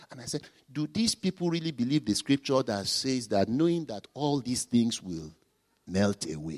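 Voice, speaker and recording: With a Nigerian accent and very wide pitch swings, the speaker goes at a moderate pace in a dry, close sound with no echo. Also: man. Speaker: pastor. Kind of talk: sermon. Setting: church.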